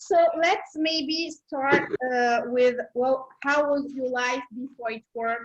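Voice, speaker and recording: A woman's high voice carries ordinary pitch variation. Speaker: live video host and interpreter. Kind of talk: interview with live translation. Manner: fast.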